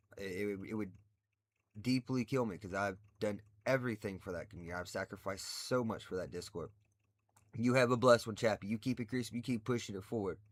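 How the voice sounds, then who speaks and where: At a very fast pace, a man with a fairly low pitch speaks with ordinary pitch variation in a very clean recording with a silent background. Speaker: livestreamer. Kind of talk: casual livestream chat. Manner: loud; animated.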